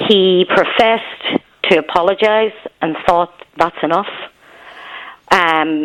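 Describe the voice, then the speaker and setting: A woman with a Northern Irish accent and a fairly low pitch speaks at a very slow pace with fairly even intonation and long, frequent pauses. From Belfast, Northern Ireland. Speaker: caller. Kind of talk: radio phone-in.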